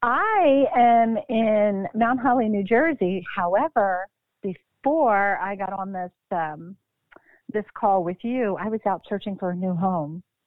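A woman with an American accent has an unremarkable speaking voice at a medium pitch. She speaks at a fairly slow pace with lively intonation. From Philadelphia, Pennsylvania. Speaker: actress.

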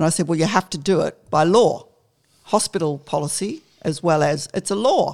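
This woman has an ordinary speaking voice with a fairly low pitch. She talks at a moderate pace with ordinary pitch variation. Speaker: retired nurse. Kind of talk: interview.

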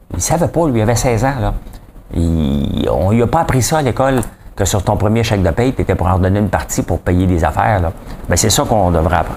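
Over noticeable background noise, a man with a Quebec accent and a fairly low pitch speaks at a fairly quick pace, his tone animated and his intonation lively, with very even loudness. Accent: Québécois French. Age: 40s. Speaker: podcast host, entrepreneur. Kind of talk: casual news commentary monologue. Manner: animated, informal.

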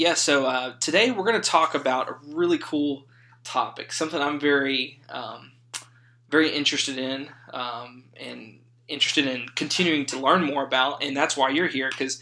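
In a Louisiana accent, a man speaks with a fairly high pitch and a bright, sharp tone. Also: ordinary pitch variation, moderate pace. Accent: Southern US (Louisiana). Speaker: podcast host, seminary student. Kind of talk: casual chat.

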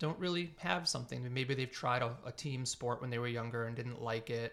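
With an American accent, a plain, everyday voice moves at a fairly quick pace with ordinary pitch variation on a very clean recording with a silent background. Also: man. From Massachusetts, North Andover. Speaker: teacher and track coach. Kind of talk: casual chat.

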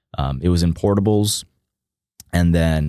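A man with an American accent and a very deep, low pitch speaks at a moderate pace with fairly even intonation, in a very clean recording with a silent background. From Texas, Austin. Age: 20s. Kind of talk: interview. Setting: studio.

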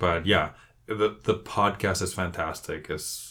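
On a very clean recording with a silent background, a man with a bright, sharp tone speaks at a moderate pace. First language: Spanish. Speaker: podcast co-host, book club. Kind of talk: casual book discussion.

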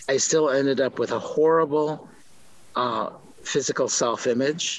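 With an American accent, a man talks. He keeps a fairly slow pace. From US Midwest, Milwaukee, Wisconsin. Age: 60s. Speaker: author and journalist. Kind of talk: interview.

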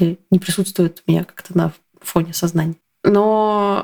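A woman's medium-pitched voice at a fairly slow pace, monotone and flat, with a dry, close sound and no echo. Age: 30s. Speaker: telegram channel author and coach. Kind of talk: casual chat.

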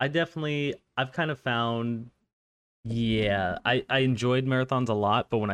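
A man with a plain, everyday voice and a General American accent, medium pitch with ordinary pitch variation, in a dry, close sound with no echo and a quiet background. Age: 20s. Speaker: podcast host. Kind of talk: casual interview chat.

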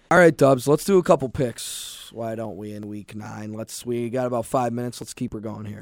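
A man's medium-pitched voice with an American accent, fairly quick with hardly any pauses and ordinary pitch variation. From Minnesota. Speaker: sports podcast host. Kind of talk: casual sports talk; interview. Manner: animated.

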